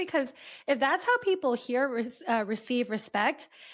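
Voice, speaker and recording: This woman has an American accent. Her pitch is high. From California. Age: 30s. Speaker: podcast host. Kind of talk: interview.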